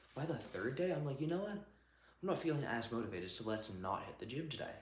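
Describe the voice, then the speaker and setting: Over light background noise and with audible room echo, a man talks at a very fast pace. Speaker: fitness vlogger. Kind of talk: casual vlog chat. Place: gym.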